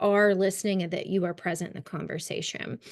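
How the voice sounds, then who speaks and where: A woman with a Kentucky accent speaks against a quiet background. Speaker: trauma-informed care trainer. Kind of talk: webinar training lecture. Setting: online webinar.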